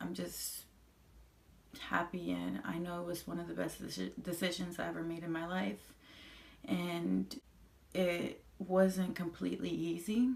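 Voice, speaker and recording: At a fairly slow pace with long, frequent pauses, a woman speaks in a Spanish accent. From Colombia, moved to US at eight. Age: 20s. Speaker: vlogger. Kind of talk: personal testimony. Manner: halting, with repetitions.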